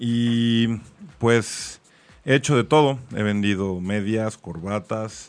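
A man at a medium pitch speaks very slowly, with ordinary pitch variation. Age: 40s. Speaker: sales trainer. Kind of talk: casual chat.

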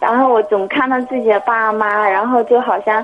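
With fairly even intonation and a fairly high pitch, a woman speaks at a moderate pace against noticeable background noise. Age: 20s. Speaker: visually impaired caller. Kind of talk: call-in conversation. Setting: phone call. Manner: quiet. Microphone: mobile phone, clear.

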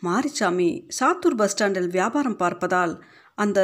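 Lively intonation in an unforced reading voice

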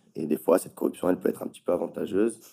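The man has a dark, mellow tone and speaks at a very deep, low pitch. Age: 30s. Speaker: tattoo artist. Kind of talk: casual interview. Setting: at home.

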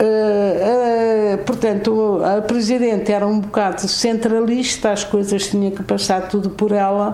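Noticeable background noise and audible room echo accompany a woman speaking with hardly any pauses in a monotone, flat intonation. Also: medium pitch for a woman. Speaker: president of an arts and crafts association, retired office worker. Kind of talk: radio interview. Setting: on location at the association.

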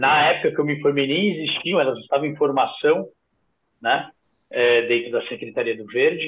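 The man has an unremarkable speaking voice at a fairly high pitch. He keeps a moderate pace with ordinary pitch variation. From São Paulo, south zone (Interlagos). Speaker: urban park manager. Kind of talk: casual interview chat.

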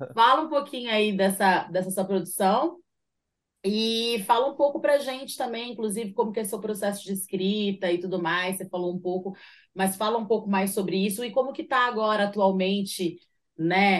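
Speaking with a plain, everyday voice, a woman keeps a medium pitch, ordinary pitch variation and a moderate pace over a quiet background. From São José dos Campos, Vale do Paraíba, Brazil. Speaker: radio show host and rapper. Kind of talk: casual interview chat.

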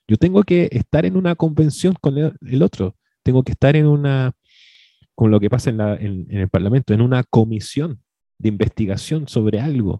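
A man speaks at medium pitch with a dark, mellow tone. The sound is dry and close, with no echo. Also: lively intonation, moderate pace. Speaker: podcast co-host. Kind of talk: casual chat.

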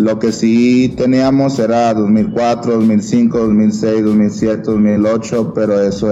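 A man with a fairly low pitch speaks very slowly in a monotone, flat intonation with very even loudness and hardly any pauses. Noticeable background noise and audible room echo fill the recording. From grew up in US across the border from San Luis, Mexico. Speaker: basketball player and youth coach. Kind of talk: casual interview. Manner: halting, many fillers and repetitions.

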